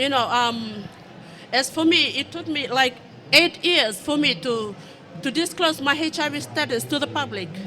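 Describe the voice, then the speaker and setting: A raised, projected voice with lively intonation at a moderate pace, over noticeable background noise. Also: woman, high pitch for a woman. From Fiji. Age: 30s. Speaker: audience member living with HIV. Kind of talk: testimony. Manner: halting, many fillers.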